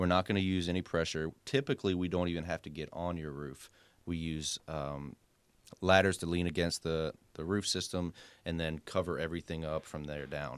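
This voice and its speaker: A man with a Southern US accent, very deep and low in pitch, fairly quick, with fairly even intonation on a very clean recording against a silent background. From coastal South Carolina. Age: 30s. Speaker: pressure washing business owner and realtor. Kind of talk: casual radio interview.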